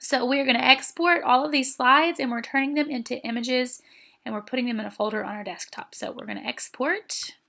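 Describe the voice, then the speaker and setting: A woman with a high, raised, projected voice speaks at a very fast pace in a bright, sharp tone. Her loudness swings widely, while her pitch variation is ordinary. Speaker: teacher. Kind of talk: tutorial. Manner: casual, conversational.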